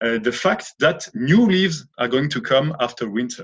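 Delivered at a moderate pace in a French accent, the voice swings very widely in pitch. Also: man. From France, Lorraine. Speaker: author and former opera tenor. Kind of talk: interview. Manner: halting.

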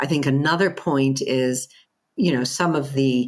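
Speaking at a fairly slow pace with an American accent, a woman has a very deep, low pitch and ordinary pitch variation. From US. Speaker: head of management institute. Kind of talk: interview.

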